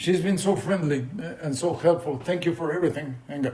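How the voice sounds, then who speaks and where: A man with a Mexican accent speaks at a high pitch. Room echo is audible. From Mexico, Mexico City. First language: Spanish. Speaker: poet and visual artist. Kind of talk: lecture. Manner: halting, with repetitions.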